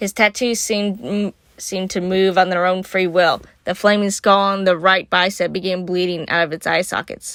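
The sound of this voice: The delivery comes in an unforced reading voice.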